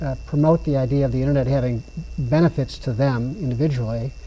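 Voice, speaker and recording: Against noticeable background noise, a man speaks at a medium pitch. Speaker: senior housing manager and internet advocate. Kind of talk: interview. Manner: fast.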